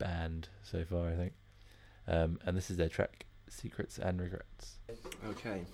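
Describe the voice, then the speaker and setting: A man with an English accent speaks in a very deep, low pitch and a dark, mellow tone, with ordinary pitch variation, on a very clean recording with a silent background. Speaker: music podcast host. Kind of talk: casual presenting.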